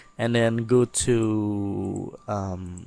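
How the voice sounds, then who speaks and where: Music plays in the background. A man with a non-native accent speaks at a medium pitch. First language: not English. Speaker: software tutorial maker. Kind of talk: tutorial. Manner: halting, many fillers; casual.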